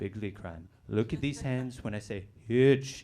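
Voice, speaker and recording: Lively in intonation, a man with an unremarkable speaking voice talks at a fairly slow pace. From Colorado. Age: 20s. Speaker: student comedian. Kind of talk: stand-up. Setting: stage with audience.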